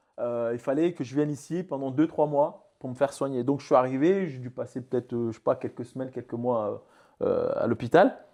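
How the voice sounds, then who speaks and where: Over a quiet background, a man with a dark, mellow tone talks at a fairly quick pace, his loudness swinging a lot. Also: fairly high pitch for a man, ordinary pitch variation. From Mayotte. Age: 30s. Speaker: entrepreneur. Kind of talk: interview. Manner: halting.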